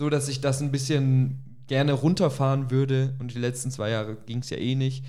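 With hardly any pauses, a man talks at a moderate pace in a dark, mellow tone with monotone, flat intonation. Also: medium pitch for a man. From Augsburg, Germany. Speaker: podcast co-host. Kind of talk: casual chat. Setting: kitchen recording.

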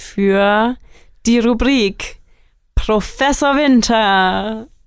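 A woman's fairly high voice unfolds very slowly. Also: big swings in loudness. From Germany, Franconia near Nuremberg. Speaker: student podcast co-host. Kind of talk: casual chat.

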